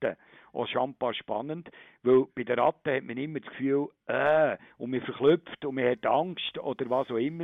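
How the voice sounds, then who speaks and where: Delivered at a moderate pace with fairly even intonation, this is a normal speaking voice. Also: man. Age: 60s. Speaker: zoo director. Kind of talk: interview. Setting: phone call.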